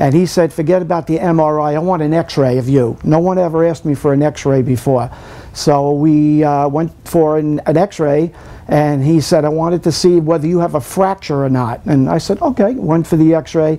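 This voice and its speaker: Here a man talks at a moderate pace with fairly even intonation. His pitch is fairly high, and his loudness stays very even. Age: 60s. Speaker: patient giving testimonial. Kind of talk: testimony. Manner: halting.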